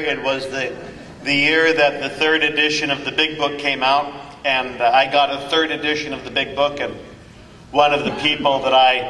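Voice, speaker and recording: A man speaks at a fairly high pitch in monotone, flat intonation. Audible room echo and noticeable background noise surround his voice. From Northern California. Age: 60s. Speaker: 12-step speaker, priest. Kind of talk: recovery talk. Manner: halting, many fillers.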